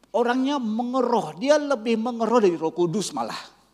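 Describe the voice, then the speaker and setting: An animated tone at a moderate pace. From Malaysia. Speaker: pastor. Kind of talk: sermon. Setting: church.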